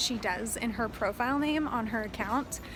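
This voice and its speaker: Against noticeable background noise, a woman with an American accent and a high pitch speaks at a fairly slow pace. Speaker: travel vlogger. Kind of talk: vlog narration. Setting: outdoors on a busy road. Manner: animated; loud.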